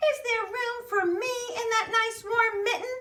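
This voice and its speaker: A put-on character voice, female-sounding and squeaky, sits at an extremely high pitch. The pace is fairly slow. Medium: read story.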